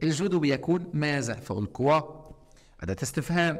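A man with an Egyptian accent talks against a quiet background. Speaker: teacher. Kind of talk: lecture. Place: classroom.

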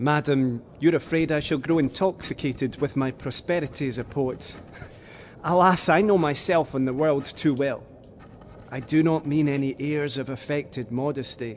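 Speaking in a plain, everyday voice, a man keeps a moderate pace. His pitch is fairly high, with ordinary pitch variation. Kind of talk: period audio drama, reading 18th-century letters aloud in character. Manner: formal, earnest, florid, measured.

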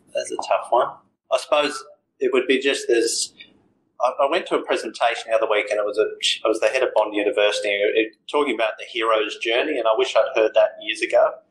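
A man with an Australian accent rattles off his words at a very fast pace. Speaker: financial adviser. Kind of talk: interview.

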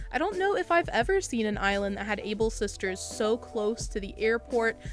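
An upbeat, enthusiastic woman's voice at a moderate pace, with music playing in the background. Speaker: gaming YouTuber. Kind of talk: casual gameplay commentary voiceover.

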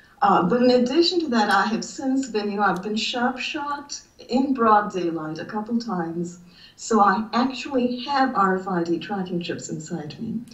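The intonation is lively and the pace moderate. Audible room echo surrounds the voice. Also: woman, fairly high pitch for a woman. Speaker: writer and college teacher. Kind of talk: interview. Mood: earnest, distressed storytelling. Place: home room. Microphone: video call.

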